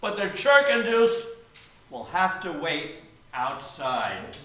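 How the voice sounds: A man's put-on character voice, high-pitched with a bright, sharp tone, slow pace, big pitch swings and strong room echo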